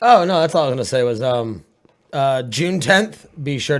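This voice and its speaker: A man's fairly high-pitched voice on a very clean recording with a silent background. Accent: Maine. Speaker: podcast co-host. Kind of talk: casual chat. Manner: hesitant, many fillers.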